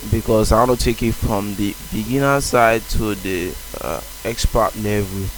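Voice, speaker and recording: His voice sits fairly low, and its pitch varies in an ordinary way. The man talks at a moderate speed against noticeable background noise. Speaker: software developer. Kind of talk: coding tutorial. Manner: casual, hesitant.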